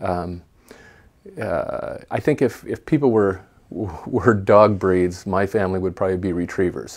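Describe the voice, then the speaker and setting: Against a quiet background, a man talks at a moderate pace in a fairly low pitch. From US Pacific Northwest, Portland, Oregon; Oregon. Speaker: toy store owner, former science teacher; former science teacher. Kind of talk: interview monologue. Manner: halting. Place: home room. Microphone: webcam.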